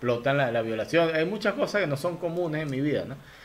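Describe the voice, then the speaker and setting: A man speaks with a Venezuelan accent and ordinary pitch variation. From Venezuela, Lara state. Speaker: comedian and podcast host. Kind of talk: casual chat. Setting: video call.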